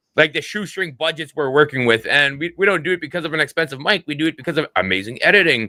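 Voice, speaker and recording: Bright and sharp in tone, a fairly high-voiced man with a Canadian accent races along at a very fast pace with hardly any pauses and lively intonation, the sound dry and close with no echo. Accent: Canadian, noticeable 'about'. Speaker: content creator and podcast co-host. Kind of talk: casual chat.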